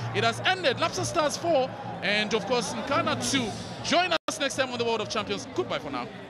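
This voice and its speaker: A man speaks at a moderate pace in a dry sound with no echo, with noticeable background noise. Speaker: football commentator. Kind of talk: live football play-by-play commentary. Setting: stadium commentary position. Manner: bursts of excitement at saves and goals. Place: stadium.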